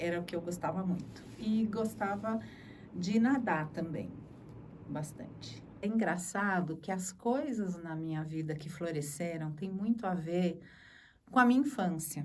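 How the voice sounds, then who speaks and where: A woman talks at a fairly slow pace in a somewhat breathy voice, fairly low in pitch with ordinary pitch variation. Room echo is audible. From Brazil, Sorocaba (São Paulo interior). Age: 60s. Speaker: journalist. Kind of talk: interview testimony.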